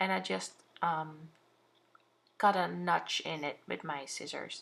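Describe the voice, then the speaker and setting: A woman with a Dutch accent speaks in a very deep, low voice. Her pace is very slow, but her intonation is lively. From Netherlands. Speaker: craft vlogger. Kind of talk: tutorial. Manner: halting.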